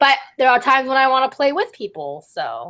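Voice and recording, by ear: At a fairly slow pace, a woman speaks in a fairly bright tone.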